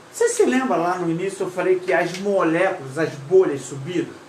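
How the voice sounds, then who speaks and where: A woman speaks at a moderate pace, her pitch swinging very widely. Room echo is audible, and background noise is noticeable. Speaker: paragliding instructor. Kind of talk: live stream lesson. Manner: casual, halting.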